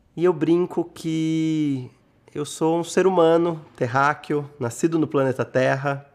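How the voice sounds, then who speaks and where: Fairly high in pitch, a man speaks at a very slow pace with fairly even intonation. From Brazil, São Paulo interior (Rio Claro) from age eight. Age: 40s. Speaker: interviewee. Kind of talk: interview testimony.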